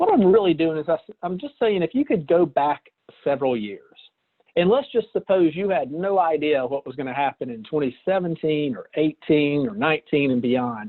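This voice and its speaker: Speech unfolds at a moderate pace. It carries a Southern US accent. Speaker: financial presenter. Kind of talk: webinar presentation. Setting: online webinar call. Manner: casual with hesitations.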